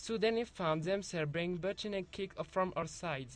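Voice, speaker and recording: Against a quiet background, a man with a high pitch speaks at a fairly slow pace with ordinary pitch variation. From France. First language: French (speaking Spanish). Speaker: university translation student. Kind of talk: student presentation.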